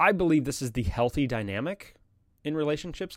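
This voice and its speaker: This man has a plain, everyday voice and a fairly quick pace. His intonation is lively, and the recording is very clean with a silent background. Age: 30s. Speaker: podcast host. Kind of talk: solo monologue podcast. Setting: live stream with chat.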